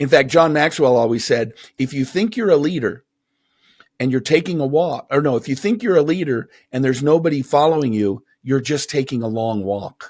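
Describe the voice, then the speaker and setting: A man with a plain, everyday voice, fairly high in pitch, speaks with lively intonation on a very clean recording with a silent background. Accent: American. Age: 50s. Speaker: motivational speaker and author. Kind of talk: interview conversation.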